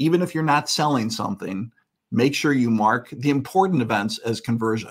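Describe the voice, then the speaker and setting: The recording is very clean with a silent background. A man speaks at a medium pitch with lively intonation. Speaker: conference speaker on web analytics. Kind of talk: conference talk with live demo. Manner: fast.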